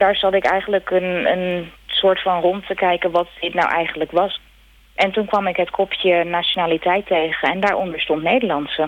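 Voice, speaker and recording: A woman in an ordinary speaking voice talks at a moderate pace with medium pitch and fairly even intonation. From Netherlands, Rotterdam. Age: 30s. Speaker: emigrant. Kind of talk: interview. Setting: phone call.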